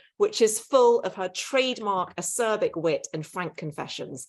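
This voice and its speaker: Over a quiet background, a woman with a British accent speaks at a medium pitch and a fairly slow pace. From Britain. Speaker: author and podcast host. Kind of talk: live event interview. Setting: livestreamed online event.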